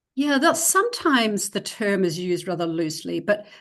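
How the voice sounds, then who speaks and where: Very wide pitch swings from a woman at medium pitch, fairly quick pace, quiet background. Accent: New Zealand. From New Zealand. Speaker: educator, reading expert. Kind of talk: presentation; interview. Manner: hesitant fillers.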